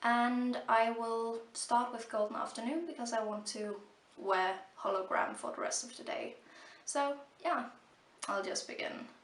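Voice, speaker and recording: Amid audible room echo, a woman with a fairly high pitch and ordinary pitch variation speaks at a fairly slow pace, leaving long, frequent pauses. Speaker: beauty vlogger. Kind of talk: product review. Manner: halting, many fillers.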